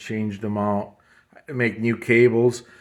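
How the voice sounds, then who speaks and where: A man speaks with a strong Midwestern US accent. The recording is very clean, with a silent background. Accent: heavy US Midwestern. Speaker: motorcycle restorer. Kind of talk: casual walkthrough tutorial. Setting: workshop shed. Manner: casual, hesitant with fillers.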